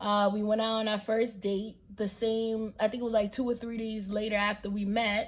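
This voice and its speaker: A fairly high-pitched, somewhat breathy woman with monotone, flat intonation at a moderate pace. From New York City. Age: 20s. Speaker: vlogger, stay-at-home mom. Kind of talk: casual Q&A vlog. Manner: casual, relaxed.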